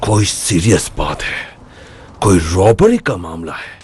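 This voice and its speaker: In a put-on character voice, a man speaks at a fairly slow pace and a fairly low pitch. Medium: fan dub.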